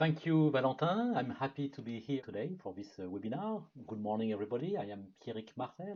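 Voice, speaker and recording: Very wide pitch swings from a man with a French accent, a medium pitch, and a dark, mellow tone, at a moderate pace. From France. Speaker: product marketing manager. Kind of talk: webinar presentation. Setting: online webinar.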